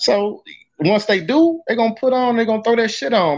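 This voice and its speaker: A man with an American accent at a fairly quick pace against a quiet background. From US South. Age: 30s. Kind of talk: casual chat.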